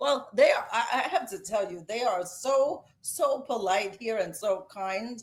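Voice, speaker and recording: A woman's fairly high voice in a Brooklyn accent, animated and lively in intonation, at a fairly slow pace with hardly any pauses. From New York City, Brooklyn. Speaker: author and speech-language pathologist. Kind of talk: podcast interview. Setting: basement studio. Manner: authoritative, convicted.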